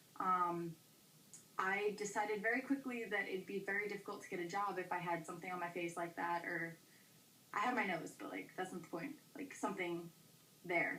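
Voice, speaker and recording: A woman's medium-pitched voice at a fairly quick pace, with ordinary pitch variation, long and frequent pauses, and noticeable background noise. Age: young. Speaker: vlogger. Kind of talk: casual vlog. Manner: fast; hesitant with fillers.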